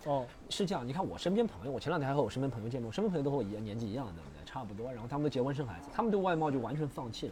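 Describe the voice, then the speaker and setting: Amid audible room echo, a man at medium pitch rushes along very fast with hardly any pauses and very wide pitch swings. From Shanghai. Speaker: stand-up comedian. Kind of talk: casual chat. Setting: outdoors in the rain.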